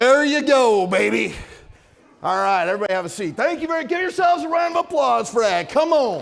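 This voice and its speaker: A loud, energetic tone at a fairly quick pace, with very wide pitch swings and audible room echo. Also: man, extremely high pitch for a man. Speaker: company presenter at industry event. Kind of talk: conference presentation. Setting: stage with audience. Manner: energetic, hyped up.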